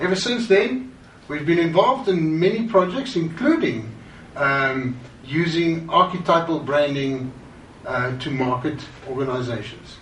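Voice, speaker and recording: Speaking with a South African accent, a man uses a fairly high pitch and lively intonation at a fairly slow pace. Room echo can be heard. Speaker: branding consultant. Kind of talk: course introduction.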